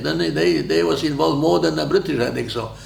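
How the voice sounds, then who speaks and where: A man with a Polish accent is heard amid noticeable background noise and audible room echo. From Poland. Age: 90s. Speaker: war veteran. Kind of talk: interview. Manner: halting.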